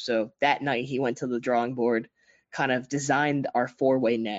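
With a normal speaking voice, a man at medium pitch talks at a moderate pace and with fairly even intonation. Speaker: entrepreneur. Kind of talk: interview.

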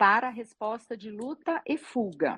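Recorded dry and close with no echo, a woman with a fairly high pitch swings very widely in pitch. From Minas Gerais, Brazil. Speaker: gynecologist. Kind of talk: interview on live stream. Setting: live video stream.

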